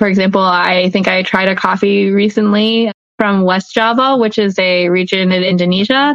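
Using a plain, everyday voice, a woman with an American accent speaks at a moderate pace and medium pitch, with fairly even intonation, very even loudness and hardly any pauses. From US South, Atlanta. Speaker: coffee roaster and small business owner. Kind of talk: interview.

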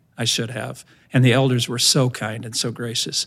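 In a very clean recording with a silent background, a man with an American accent speaks at a moderate pace in a flat monotone at medium pitch. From Indiana, US Midwest. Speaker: senior minister, pastor. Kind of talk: testimony interview.

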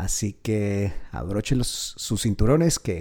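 Here a man speaks with a fairly low pitch and a dark, mellow tone. His voice is somewhat breathy, with lively intonation. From Colombia. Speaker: podcast host, real estate and finance. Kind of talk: podcast monologue. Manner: halting, with repeated words.

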